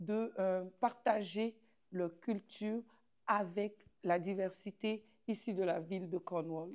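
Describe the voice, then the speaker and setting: Very slowly and with fairly even intonation, a woman speaks at a medium pitch. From Côte d'Ivoire. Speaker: community festival president. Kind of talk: interview.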